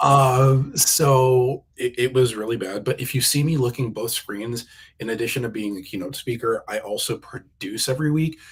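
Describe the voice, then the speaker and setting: With an American accent, a man speaks at a moderate pace and medium pitch, somewhat breathy, with ordinary pitch variation and hardly any pauses. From New Jersey, US East Coast. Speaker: keynote speaker. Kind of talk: interview. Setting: live video stream. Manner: halting, with repeated words and fillers.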